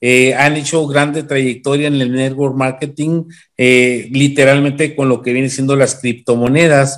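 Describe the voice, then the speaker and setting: A man with a Mexican accent, fairly slow and monotone, flat in intonation, over a quiet background. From Mexico. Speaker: webinar host and moderator. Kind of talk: meeting host introduction. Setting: video call. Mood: upbeat, welcoming. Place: home room. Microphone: video call.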